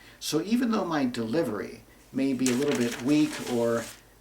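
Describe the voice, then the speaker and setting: With clear background noise around him, a man talks, his pitch shifting in a typical way. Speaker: motivational speaker. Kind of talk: self-recorded motivational talk. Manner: halting, repetitive.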